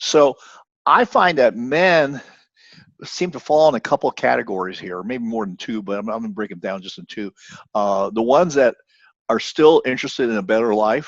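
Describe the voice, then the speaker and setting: Lively intonation moves along at a fairly quick pace, with a dry, close sound with no echo and a quiet background. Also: man. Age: 60s. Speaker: podcaster, former practitioner. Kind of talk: casual chat. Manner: halting, many repeated words.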